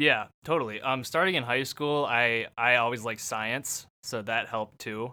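At a moderate pace, a man with an unremarkable speaking voice talks with hardly any pauses. The recording is very clean, with a silent background. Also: medium pitch for a man, ordinary pitch variation. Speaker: ER technician. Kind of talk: casual chat.

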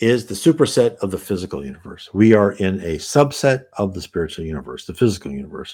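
An American accent comes from a man with fairly low pitch and very wide pitch swings. He moves at a fairly quick pace in a very clean recording with a silent background. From United States. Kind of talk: solo Q&A talk to camera. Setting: livestream video. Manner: halting, many fillers.

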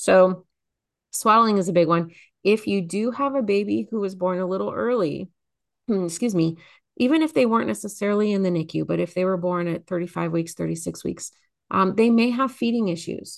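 A woman with an ordinary speaking voice, medium pitch, and fairly quick pace, set against a quiet background. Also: lively intonation. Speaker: nurse and parenting educator.

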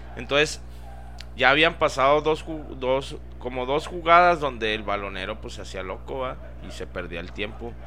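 The pitch swings very widely. Loudness also rises and falls in big swings. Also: man, very deep, low pitch for a man, moderate pace. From Ciudad Juárez, Mexico. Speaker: podcast co-host. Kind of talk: casual chat.

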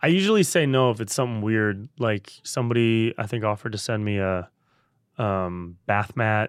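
Speech comes at a moderate pace with ordinary pitch variation. The accent is Californian. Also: man, fairly low pitch for a man. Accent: Californian American. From Northern California (Davis, near Sacramento). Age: 30s. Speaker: podcast host and comedian. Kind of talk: casual chat.

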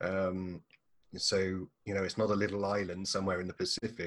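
With an English accent, a man speaks at a moderate pace. His pitch is fairly low and his intonation fairly even. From England. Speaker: marketing coach. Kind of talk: casual interview.

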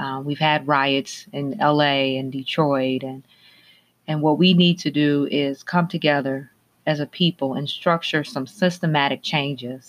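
With an American accent, a woman speaks at a fairly slow pace in a very deep, low pitch and fairly even intonation. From Minneapolis, Minnesota. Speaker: podcast host. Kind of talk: interview podcast.

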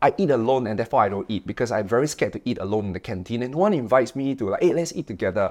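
A man talks in an energetic, animated tone with lively intonation. The background is quiet. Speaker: motivational speaker. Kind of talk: podcast interview, motivational talk.

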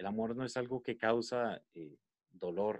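The man's voice comes through with a dry, close sound and no echo. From Costa Rica, San José. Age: 20s. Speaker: podcast guest. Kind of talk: casual chat.

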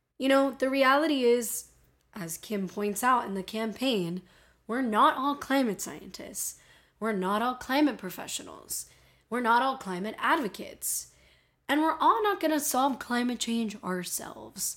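In a very clean recording with a silent background, a woman with a high pitch speaks at a fairly slow pace in an animated tone with lively intonation. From Miami. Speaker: podcast host about climate change. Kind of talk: casual solo podcast monologue. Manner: chatty, humorous, animated.

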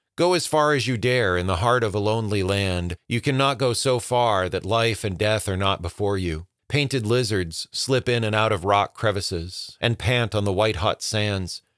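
A man's plain, everyday voice, fairly low in pitch with ordinary pitch variation, at a moderate pace with hardly any pauses, on a very clean recording with a silent background. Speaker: podcast narrator. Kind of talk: audiobook reading of classic nature writing.

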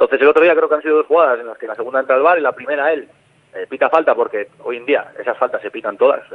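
A man talks at a very fast pace, with big swings in loudness. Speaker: football goalkeeper. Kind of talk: radio interview.

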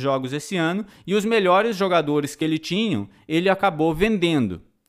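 A very clean recording with a silent background of a man with a high pitch, ordinary pitch variation and a fairly quick pace. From Brazil, Tocantins. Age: 30s. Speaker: podcast host. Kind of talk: philosophy lecture. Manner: animated.

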